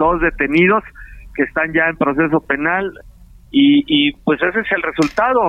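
This is a man speaking. His pitch is high. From Mexico, Morelos. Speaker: state prosecutor. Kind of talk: phone interview. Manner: formal.

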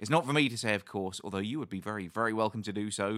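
A man with a British accent sounds enthusiastic. The recording is very clean, with a silent background and a dry, close sound with no echo. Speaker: podcast host and ukulele teacher. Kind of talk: casual interview.

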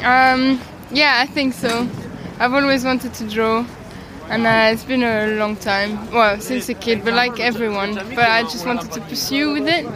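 A woman with a fairly high voice speaks in fairly even tones over noticeable background noise, with audible room echo. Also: moderate pace. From Brussels, Belgium. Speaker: illustrator. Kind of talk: street interview. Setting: outdoors at a flea market.

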